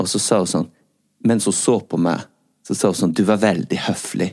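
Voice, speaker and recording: A man's very deep, low-pitched voice with a dark, mellow tone, at a moderate pace. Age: 40s. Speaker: podcast host. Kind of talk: casual chat.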